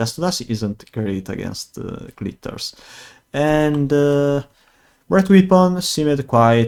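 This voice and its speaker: A man with an Italian accent talks at a very slow pace. His pitch is fairly high and his intonation lively. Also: big swings in loudness. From Italy. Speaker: gaming video creator. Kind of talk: gameplay commentary. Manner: hesitant, many fillers.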